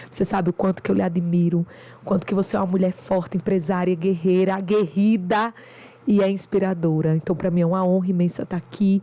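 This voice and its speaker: Speaking at a fairly quick pace in a northeastern Brazilian accent, a woman with a medium pitch and dark, mellow tone keeps a monotone, flat intonation and very even loudness. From Brazil, interior of Rio Grande do Norte. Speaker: doctor and business mentor. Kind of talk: podcast interview.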